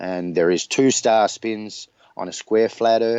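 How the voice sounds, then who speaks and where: A man with an Australian accent talks at a fairly slow pace. His intonation stays fairly even. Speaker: flat earth theorist. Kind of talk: interview.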